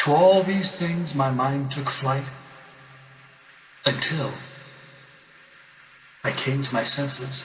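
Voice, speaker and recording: Pausing long and often, a man talks at a very slow pace in a fairly high pitch with ordinary pitch variation over noticeable background noise. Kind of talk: poetry reading.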